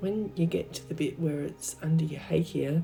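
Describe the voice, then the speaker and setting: Music plays behind a woman speaking. Her tone is calm and relaxed. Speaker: art teacher. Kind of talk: craft tutorial narration. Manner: calm, relaxed.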